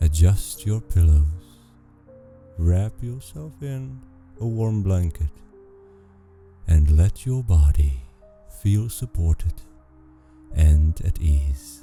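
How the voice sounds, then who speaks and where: Over music in the background, a soft-spoken man talks at a very slow pace with long, frequent pauses. His very deep, low pitch carries lively intonation and a calm, gentle tone. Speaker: sleep story narrator. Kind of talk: guided relaxation intro. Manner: soft, calm, gentle.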